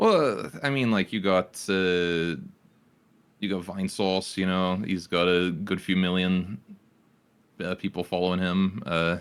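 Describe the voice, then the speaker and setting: A man with a very deep, low voice, a fairly slow pace, fairly even intonation and long, frequent pauses, in a very clean recording with a silent background. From Britain. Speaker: Twitch streamer. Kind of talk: casual podcast interview. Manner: hesitant, many fillers.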